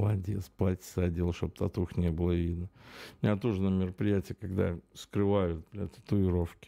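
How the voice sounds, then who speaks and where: At a moderate pace, a man speaks with a very deep, low pitch, a dark, mellow tone and fairly even intonation on a very clean recording with a silent background. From Belarus. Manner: casual, profane, rambling.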